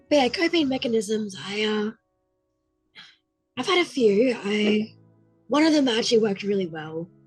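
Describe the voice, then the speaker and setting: A woman's fairly high voice at a moderate pace, lively in intonation, with long, frequent pauses and music in the background. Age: 20s. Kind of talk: personal story talk to camera.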